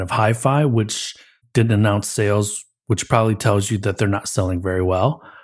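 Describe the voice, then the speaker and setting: A man speaks with a Midwestern accent. His pitch sits fairly low. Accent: American Midwest. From US Midwest, Michigan near Detroit. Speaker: consultancy managing director and podcast host. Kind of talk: casual chat.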